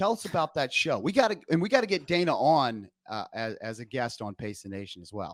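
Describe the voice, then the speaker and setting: A man talks at a fairly quick pace with hardly any pauses, using a fairly high pitch and vocal fry. His pitch makes very wide swings, and his loudness swings widely too. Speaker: running podcast host. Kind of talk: casual chat. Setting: remote call, not in studio.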